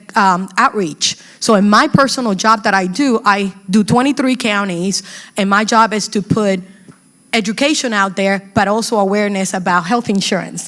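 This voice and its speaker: With a Spanish accent, a woman speaks at a moderate pace in a medium pitch, her pitch varying in an ordinary way. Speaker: community health educator. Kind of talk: panel talk at workshop.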